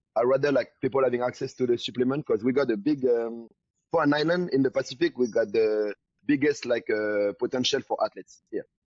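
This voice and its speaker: A fairly quick voice with a French accent, ordinary pitch variation and very even loudness. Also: man, medium pitch for a man. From New Caledonia. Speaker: bodybuilder and supplement entrepreneur. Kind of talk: casual interview. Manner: halting, many fillers.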